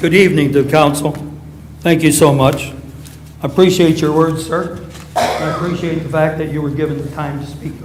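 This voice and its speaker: In an American accent, a man speaks at a fairly quick pace with a fairly high pitch and monotone, flat intonation, amid noticeable background noise and audible room echo. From Romulus, Michigan, US. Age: 80s+. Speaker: former city councilman, resident. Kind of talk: public comment at city council meeting. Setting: council chambers.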